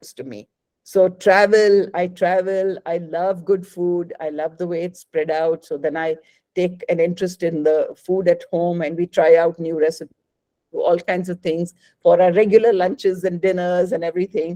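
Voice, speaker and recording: A woman talks at a moderate pace with fairly even intonation and big swings in loudness. Her voice is fairly low-pitched, with a dark, mellow tone. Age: 60s. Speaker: cancer survivor and wellness teacher. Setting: online talk.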